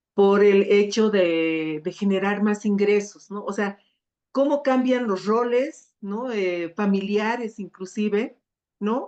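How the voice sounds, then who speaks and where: A woman talks very slowly in a mid-range register. The rise and fall of her pitch is normal. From Sucre, Bolivia. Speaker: gender specialist, panelist. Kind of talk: panel discussion. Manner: hesitant, many fillers.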